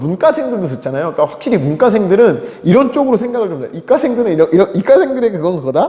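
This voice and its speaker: The voice has an animated tone and very wide pitch swings. Noticeable background noise runs underneath. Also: man. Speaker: teacher. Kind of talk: lecture. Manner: fast.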